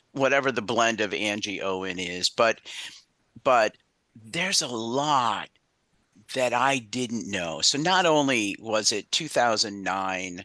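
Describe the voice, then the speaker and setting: Against a quiet background, a man with a medium pitch and a bright, sharp tone talks at a very slow pace with lively intonation. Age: 60s. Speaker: veteran panelist, ADA coordinator. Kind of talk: panel discussion. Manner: halting.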